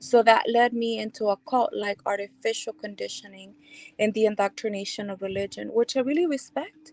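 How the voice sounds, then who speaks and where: This woman has a Spanish accent and a fairly high voice, talking at a fairly quick pace. The sound is dry and close, with no echo. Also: ordinary pitch variation. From El Salvador. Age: 40s. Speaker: speaker sharing life story. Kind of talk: testimony.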